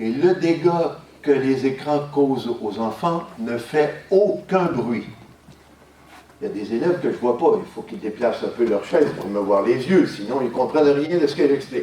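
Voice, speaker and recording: A man's fairly high voice with lively intonation, plus audible echo from the room. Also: fairly slow pace. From Quebec. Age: 70s. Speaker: lecturer. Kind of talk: school talk to pupils. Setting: school classroom.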